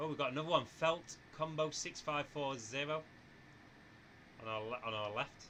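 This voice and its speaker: A man with a northern English accent speaks at medium pitch and a moderate pace, with ordinary pitch variation and long, frequent pauses. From northwest England, near Manchester. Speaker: flight simulator streamer. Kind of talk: live stream chat. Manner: casual, chatty.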